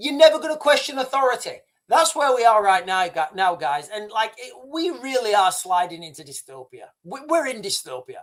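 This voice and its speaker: An animated man with a British accent at an extremely high pitch, very wide pitch swings, big swings in loudness, a moderate pace and hardly any pauses. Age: 50s. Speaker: YouTube commentator. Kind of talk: live stream commentary.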